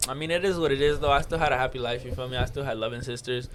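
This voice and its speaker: This man talks very fast in a Spanish accent, his pitch medium with ordinary variation. Noticeable background noise and audible room echo fill the recording. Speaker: podcast co-host. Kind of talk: casual chat. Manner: casual, filler-heavy.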